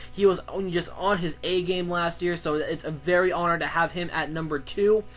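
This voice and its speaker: A man speaks at a high pitch. His intonation is monotone and flat, with music in the background. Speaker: sports commentator vlogger. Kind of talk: solo sports commentary vlog. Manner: fast; halting, many fillers and restarts.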